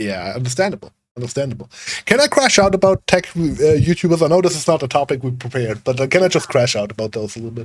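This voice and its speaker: A very fast, somewhat breathy delivery with lively intonation and big swings in loudness. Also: man, medium pitch for a man. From Germany. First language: German. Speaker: podcast co-host. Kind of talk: casual chat. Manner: animated.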